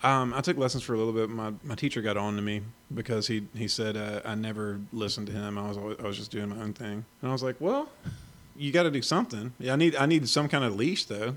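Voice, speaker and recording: A man speaks at a very fast pace in an American accent. His pitch varies in an ordinary way. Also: medium pitch for a man. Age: 30s. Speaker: guitarist and singer. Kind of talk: casual interview chat.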